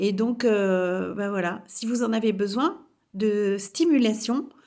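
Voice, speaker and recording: On a very clean recording with a silent background, a woman speaks with a fairly high pitch. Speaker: spiritual coach. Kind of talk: vlog testimony. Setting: home kitchen. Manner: assertive, forceful; hesitant, many fillers.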